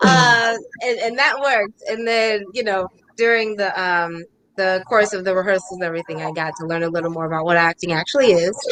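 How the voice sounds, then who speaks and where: In an ordinary speaking voice, a woman talks at a fairly quick pace with a medium pitch and ordinary pitch variation. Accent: American. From South Carolina. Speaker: actress and singer. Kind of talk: interview.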